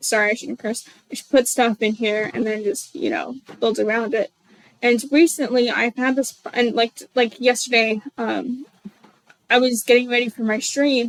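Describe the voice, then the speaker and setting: A woman speaks at a moderate pace with a high pitch and fairly even intonation. The sound is dry and close, with no echo. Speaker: game developer streamer. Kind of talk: live stream commentary. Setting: livestream via Discord. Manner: halting, stuttering.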